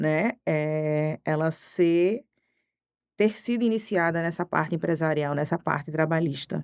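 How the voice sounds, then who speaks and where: In a Recife accent, a woman speaks at a fairly slow pace with a fairly low pitch and very even loudness on a very clean recording with a silent background. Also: ordinary pitch variation, dry, close sound with no echo. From Pernambuco, Brazil (Recife area). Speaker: criminal defense lawyer. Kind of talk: podcast interview.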